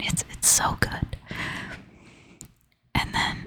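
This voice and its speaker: The whispering moves at a very slow pace. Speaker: ASMR creator. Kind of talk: ASMR personal storytelling. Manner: soft-spoken half whisper. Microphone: crackling from knocking the microphone.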